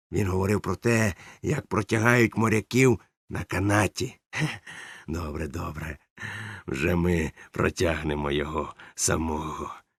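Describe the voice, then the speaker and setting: A loud, very deep, low put-on character voice from a man, at a moderate pace with long, frequent pauses, in a very clean recording with a silent background. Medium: read story. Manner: loud, bluff, theatrical.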